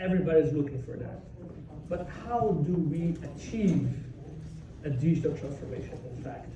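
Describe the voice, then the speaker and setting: Amid noticeable background noise and audible room echo, a man talks at a moderate pace with a fairly high pitch. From Brazil. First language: Portuguese. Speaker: software developer, conference speaker. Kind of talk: conference talk.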